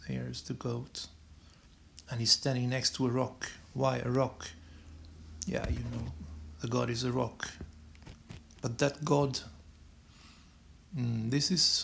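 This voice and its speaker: A man speaks with a non-native accent at a fairly slow pace. His speech is broken by long, frequent pauses. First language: not English. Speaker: esoteric astrology video maker. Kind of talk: monologue explaining symbols on screen. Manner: halting, many repetitions and restarts. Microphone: low quality recordings.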